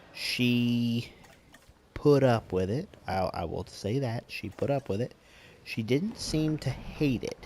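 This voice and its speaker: This man mumbles at a very slow pace. His pitch varies in an ordinary way. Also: medium pitch for a man. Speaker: gaming youtuber. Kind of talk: let's play commentary. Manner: mumbling.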